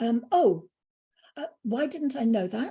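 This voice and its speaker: A woman with a high pitch and a dark, mellow tone speaks with very wide pitch swings. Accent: English. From UK. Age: 60s. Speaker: spiritual speaker. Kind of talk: interview.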